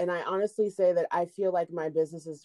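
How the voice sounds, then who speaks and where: A woman with a fairly low pitch is heard in a dry, close recording with no echo. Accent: American. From Indiana, Indianapolis. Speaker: private chef. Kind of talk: casual chat.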